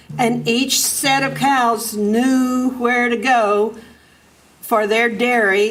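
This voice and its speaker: A woman with an American accent, fairly high in pitch, at a very slow pace with fairly even intonation, amid noticeable background noise and audible room echo. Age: 80s+. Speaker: farmer and resident speaking at public comment. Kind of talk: public comment at city council meeting. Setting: city council chamber.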